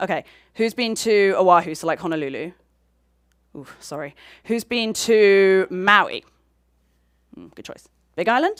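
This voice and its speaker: Using a British accent, a woman with a medium pitch and lively intonation speaks at a fairly slow pace, with long, frequent pauses and big swings in loudness. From United Kingdom. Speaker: astronomer. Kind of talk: public science lecture. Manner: casual, chatty.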